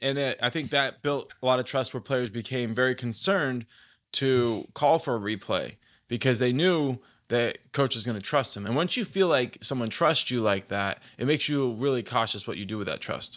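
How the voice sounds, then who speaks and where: A man speaks at a medium pitch and a moderate pace with ordinary pitch variation, an unremarkable speaking voice. The recording is very clean, with a silent background. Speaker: sports podcast host. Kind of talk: casual chat. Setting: live stream. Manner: casual, conversational.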